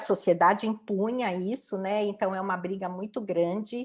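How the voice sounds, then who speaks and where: An unremarkable speaking voice at a moderate pace, on a very clean recording with a silent background. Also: woman. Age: 60s. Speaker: diversity and inclusion professional. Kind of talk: interview testimony.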